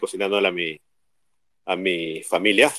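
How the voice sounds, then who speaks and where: The recording is dry and close, without any echo. A man talks at a moderate pace. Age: 50s. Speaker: artist. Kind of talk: casual chat.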